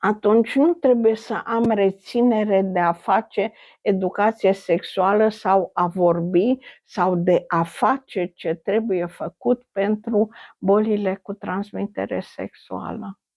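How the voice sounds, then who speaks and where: This woman, medium in pitch, talks very slowly and varies her pitch in an ordinary way. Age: 80s+. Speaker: retired infectious disease doctor. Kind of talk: interview.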